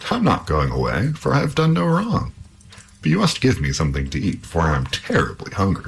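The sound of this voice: Doing a put-on character voice, a man speaks low with vocal fry at a fairly quick pace, his pitch swinging very widely amid audible room echo.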